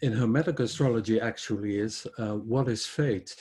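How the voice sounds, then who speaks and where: A man with a Dutch accent, medium pitch and a dark, mellow tone, somewhat breathy, at a fairly slow pace with fairly even intonation, on a very clean recording with a silent background. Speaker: astrologer. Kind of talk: lecture. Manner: halting.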